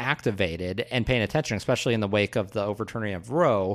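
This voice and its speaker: On a very clean recording with a silent background, a man talks with an American accent. His tone is bright and sharp, his pace fairly quick. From US Midwest. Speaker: political podcast co-host. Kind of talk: casual political discussion.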